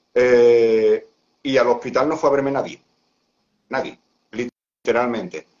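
Speech moves at a fairly slow pace with long, frequent pauses. The intonation stays fairly even. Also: man, medium pitch for a man. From Seville, southern Spain. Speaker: athlete and Crohn's patient. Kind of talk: live-stream interview.

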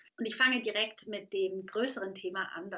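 A woman speaks at a fairly slow pace. Her pitch is fairly high and her tone is bright and sharp. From Switzerland, Lake Constance. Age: 40s. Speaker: podcast host and business coach. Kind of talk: solo podcast monologue. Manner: casual, many fillers and English phrases.

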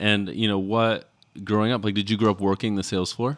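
A man talks in a plain, everyday voice with a fairly low pitch and an American accent. His intonation stays fairly even. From Texas. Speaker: podcast host. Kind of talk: interview. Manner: casual with frequent fillers and laughs.

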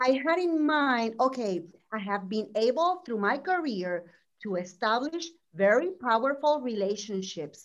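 A woman at a fairly slow pace with very wide pitch swings, over a quiet background. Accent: Puerto Rican. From Puerto Rico. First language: Spanish. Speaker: business owner and former executive. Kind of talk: panel discussion advice. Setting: video call. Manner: animated.

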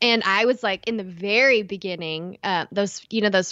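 Using an East Texas accent, a woman speaks at a moderate pace and medium pitch with ordinary pitch variation. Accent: East Texas, noticeable. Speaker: podcast co-host.

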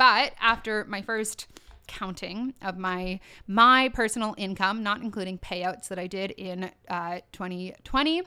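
With a Canadian accent, a woman speaks at a fairly slow pace in a bright, sharp tone, with ordinary pitch variation and big swings in loudness on a very clean recording with a silent background. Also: medium pitch for a woman. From Ontario, Canada (Durham region). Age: 30s. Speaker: podcast host, online business coach. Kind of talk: solo podcast monologue. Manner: casual, frequent laughter.

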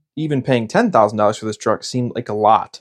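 A man has an ordinary speaking voice. He talks fairly quickly with lively intonation. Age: 30s. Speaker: podcast host, pest control business owner. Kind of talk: casual monologue.

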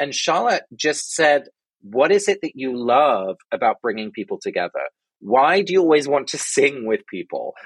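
With an American accent and noticeable vocal fry, a man speaks at a moderate pace and a fairly high pitch. His pitch swings very widely, and the sound is dry and close with no echo. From England (London), Dutch parents. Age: 30s. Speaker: author and podcaster. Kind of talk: casual interview conversation. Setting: remote call.

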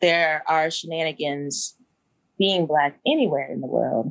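A woman speaks with an American accent at a fairly low pitch. Her intonation is lively, with vocal fry. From US South, Kentucky and Georgia. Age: 30s. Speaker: podcast host and English teacher. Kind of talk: casual chat.

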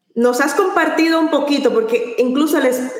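This woman talks with lively intonation. Her voice sits high in pitch. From Latin America. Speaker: podcast host. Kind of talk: interview. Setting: live stream.

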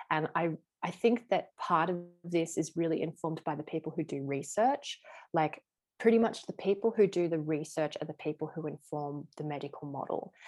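A woman speaks in an ordinary speaking voice, fairly low in pitch with ordinary pitch variation. Her moderate pace comes through on a very clean recording with a silent background. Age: 30s. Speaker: somatic body work and tantra teacher. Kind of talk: casual interview chat.

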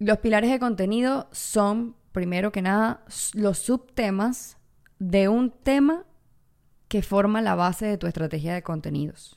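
On a very clean recording with a silent background, a woman speaks at a fairly slow pace in a medium pitch, animated in tone, with ordinary pitch variation. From Venezuela. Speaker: content creator and podcast host. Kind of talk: solo podcast monologue.

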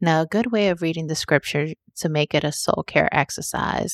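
The recording is very clean with a silent background, dry and close with no echo. A woman uses a normal speaking voice at a fairly low pitch and a moderate pace. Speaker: podcast host and life coach. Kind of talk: scripted narration.

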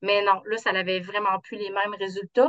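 This woman has a medium pitch and speaks at a moderate pace. The sound is dry and close, with no echo. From Quebec, south shore of Quebec City. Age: 50s. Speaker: insurance trainer, coaching client. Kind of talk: casual interview.

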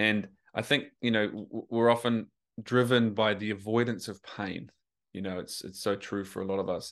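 A man with a New Zealand accent, medium in pitch, at a moderate pace. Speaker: men's coach. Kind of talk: casual interview. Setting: remote call.

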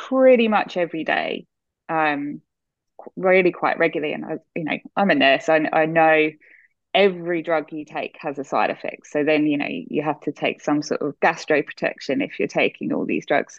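In an Australian accent, a woman talks at a moderate pace. Her pitch is fairly low. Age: 40s. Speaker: nurse. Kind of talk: casual interview.

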